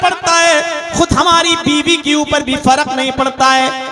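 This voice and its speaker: A raised, projected voice with ordinary pitch variation over music in the background. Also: man. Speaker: Islamic preacher. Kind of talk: religious sermon to a live audience.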